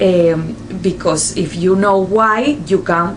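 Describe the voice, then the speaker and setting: A woman in a Spanish accent comes through noticeable background noise and audible room echo. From Spain. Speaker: nurse. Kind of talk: vlog explainer. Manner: halting, many fillers.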